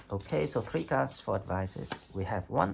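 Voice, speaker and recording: A man with a fairly low voice speaks at a fairly slow pace. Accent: non-native. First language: not English. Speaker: tarot reader. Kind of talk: tarot reading monologue. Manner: hesitant, with fillers and restarts.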